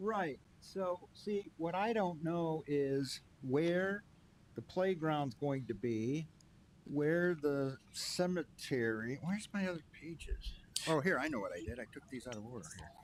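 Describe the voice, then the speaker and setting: Mumbling at a fairly slow pace, a man with a fairly high voice uses lively intonation. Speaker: township board chair. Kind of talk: public meeting discussion.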